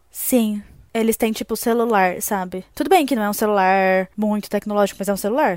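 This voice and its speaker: In a normal speaking voice, a woman talks at a fairly quick pace in a medium pitch with ordinary pitch variation, on a very clean recording with a silent background. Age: 20s. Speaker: podcast co-host. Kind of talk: casual chat.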